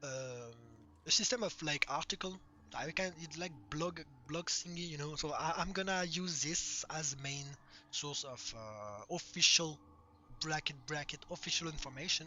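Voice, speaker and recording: A man speaks at a moderate pace in a fairly high pitch with ordinary pitch variation. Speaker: game mod developer. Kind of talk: casual dev update monologue. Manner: halting, many fillers.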